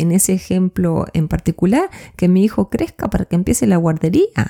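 At a moderate pace, a woman speaks with a medium pitch, a dark, mellow and warm tone, and lively intonation, in a dry, close sound with no echo. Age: 40s. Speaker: life coach podcaster. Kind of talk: solo reflective monologue. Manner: warm, conversational.

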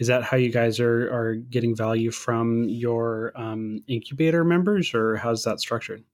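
A man speaks at a moderate pace and a medium pitch, with fairly even intonation and hardly any pauses, in an ordinary speaking voice. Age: 30s. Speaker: podcast host. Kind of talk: casual interview.

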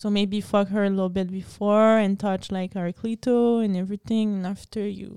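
A woman speaks at medium pitch with a dark, mellow tone and monotone, flat intonation. Her moderate pace has hardly any pauses, in a very clean recording with a silent background. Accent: French. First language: French. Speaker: podcast co-host. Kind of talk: casual chat.

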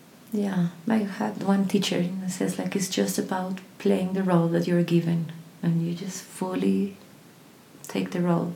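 Fairly even intonation from a woman with a fairly low pitch, at a fairly slow pace, amid audible room echo and noticeable background noise. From Colombia. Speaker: voice teacher and singer. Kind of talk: casual interview chat.

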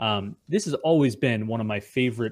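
A man with a plain, everyday voice talks at a moderate pace and a medium pitch with an American accent. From US suburbs. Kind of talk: casual interview.

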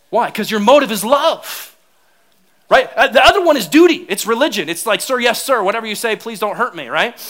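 A man's extremely high voice at a fairly quick pace, with lively intonation and big swings in loudness. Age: 30s. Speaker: pastor. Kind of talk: sermon. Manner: animated.

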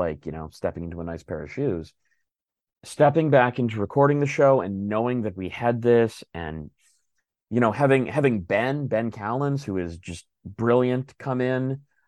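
Over a quiet background, a man with an unremarkable speaking voice talks at a moderate pace and medium pitch, with lively intonation. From Filipino-American. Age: 30s. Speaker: voice actor. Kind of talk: casual chat.

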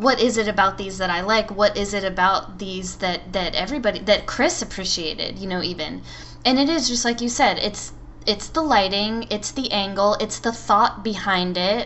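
This woman has an ordinary speaking voice, medium pitch with ordinary pitch variation, and a moderate pace. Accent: American. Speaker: podcast co-host. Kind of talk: casual chat.

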